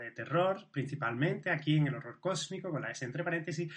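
He has a normal speaking voice, pitched fairly high for a man. His pitch varies in an ordinary way and his pace is fairly quick. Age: 40s. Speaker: podcast host. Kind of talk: casual chat.

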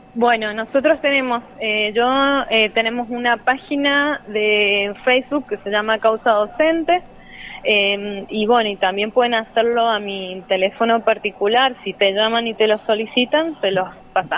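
A woman speaks at a fairly slow pace in a fairly high voice. Noticeable background noise can be heard. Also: ordinary pitch variation. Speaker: teacher union activist. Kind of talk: interview. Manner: hesitant, many fillers.

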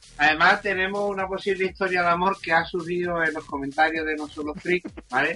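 Over noticeable background noise, a man speaks at a very fast pace, high in pitch, with fairly even intonation. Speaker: podcast co-host. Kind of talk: casual chat.

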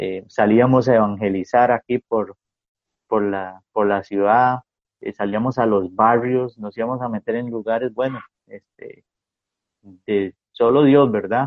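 A normal speaking voice with fairly even intonation and a fairly slow pace. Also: man, medium pitch for a man. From Costa Rica, San Carlos. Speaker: pastor. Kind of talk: casual chat. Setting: video call.

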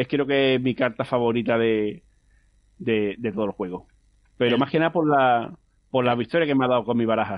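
A man speaks at a fairly quick pace with a medium pitch and ordinary pitch variation. Long pauses come often. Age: 30s. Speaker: competitive card game player. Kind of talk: interview.

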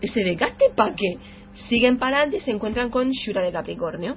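A woman at a very fast pace with lively intonation, amid noticeable background noise. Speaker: video game podcast host. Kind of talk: casual chat.

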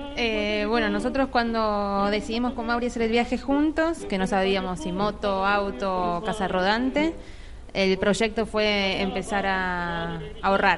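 A woman's medium-pitched voice at a fairly slow pace with ordinary pitch variation, over noticeable background noise. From Argentina, Buenos Aires. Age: 30s. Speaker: traveling artisan. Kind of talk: interview.

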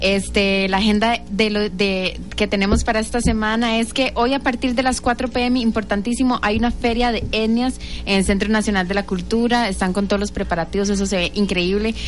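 A woman with a Costa Rican accent speaks at a medium pitch and moderate pace, with hardly any pauses, very even loudness and fairly even intonation, over noticeable background noise. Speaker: youth radio host. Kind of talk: radio interview and talk show.

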